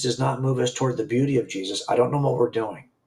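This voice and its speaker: At a very fast pace, a man talks in a somewhat breathy voice of medium pitch with ordinary pitch variation. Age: 60s. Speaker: author and former police officer. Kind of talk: casual chat. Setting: live stream. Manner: halting, many false starts.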